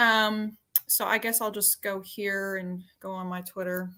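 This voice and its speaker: A woman talks at a fairly slow pace with a strong Southern US accent. Her tone is bright and sharp. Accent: Southern US accent, pretty strong. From Arkansas, US South. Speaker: paranormal YouTuber. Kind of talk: casual chat.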